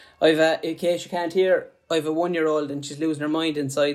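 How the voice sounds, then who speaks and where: A man speaks in a fairly high voice with a Limerick accent. His delivery is monotone and flat. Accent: Irish, Limerick. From Ireland, Limerick. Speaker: podcast host, sports illustrator. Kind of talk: casual interview; scripted intro.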